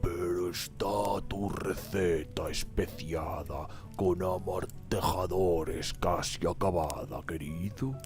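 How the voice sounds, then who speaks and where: Loud music plays behind a man doing a croaky, put-on character voice at a very slow pace. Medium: read story. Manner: rumbling.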